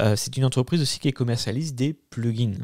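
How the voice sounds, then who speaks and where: A man is heard on a very clean recording with nothing in the background. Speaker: YouTube tech tutorial creator. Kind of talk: tutorial. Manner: fast; hesitant, many fillers.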